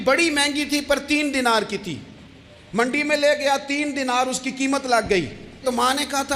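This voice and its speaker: A man speaks over noticeable background noise. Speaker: Islamic preacher delivering a sermon. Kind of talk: religious sermon (bayan). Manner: emotive, storytelling, addressing audience directly.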